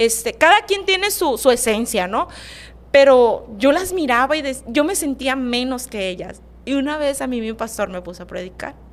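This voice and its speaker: A woman's high voice with very wide pitch swings and big swings in loudness. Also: moderate pace. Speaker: podcast host. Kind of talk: casual interview chat. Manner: stutters when nervous, laughs.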